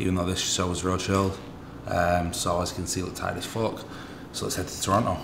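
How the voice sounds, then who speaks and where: Noticeable background noise accompanies speech delivered at a fairly quick pace. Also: man. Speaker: bodybuilder vlogger. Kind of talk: casual vlog chat. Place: home room. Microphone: phone near.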